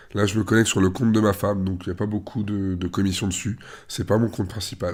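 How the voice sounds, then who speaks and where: A man, fairly low in pitch, at a very fast pace, with monotone, flat intonation. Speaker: online investment promoter. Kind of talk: tutorial. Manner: casual, hesitant fillers.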